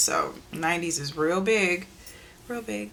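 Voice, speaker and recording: A woman with medium pitch and lively intonation speaks against noticeable background noise. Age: 30s. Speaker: beauty vlogger. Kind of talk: casual chat.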